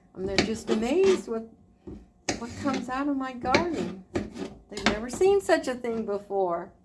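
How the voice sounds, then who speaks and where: A woman speaks at a moderate pace and fairly high pitch, with very wide pitch swings. Long, frequent pauses occur, and there is noticeable background noise. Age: 60s. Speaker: retired homemaker vlogger. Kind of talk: casual vlog talk while cooking. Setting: home kitchen. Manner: relaxed, conversational with filler words.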